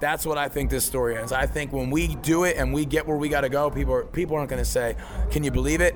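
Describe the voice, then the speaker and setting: Speaking at a very fast pace, a man has an American accent. Noticeable background noise runs underneath. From Philadelphia, US. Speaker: rock band singer. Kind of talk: casual interview.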